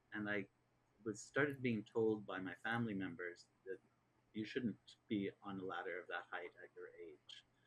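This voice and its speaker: This man has a Canadian accent and a fairly low pitch. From Canada. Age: 60s. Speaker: chef and social entrepreneur. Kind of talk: interview. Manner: halting.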